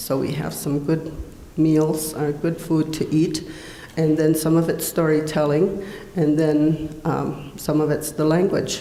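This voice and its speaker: Someone with an American accent speaks at a fairly slow pace in a monotone, flat way, with noticeable background noise and audible room echo. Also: woman, very deep, low pitch for a woman. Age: 60s. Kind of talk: conference panel talk.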